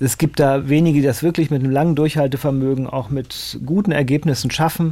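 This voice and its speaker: Fairly even intonation and a dark, mellow tone in a man's medium-pitched speech. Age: 50s. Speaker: mandolinist and mandolin teacher. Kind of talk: casual radio interview.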